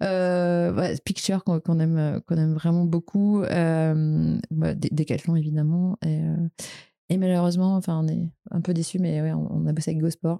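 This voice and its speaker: In a dark, mellow tone, the voice moves at a fairly slow pace with monotone, flat intonation, in a dry, close sound with no echo. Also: woman, fairly low pitch for a woman, very even loudness. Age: 30s. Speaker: startup co-founder and CEO. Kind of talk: podcast interview. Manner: halting, many repetitions and fillers.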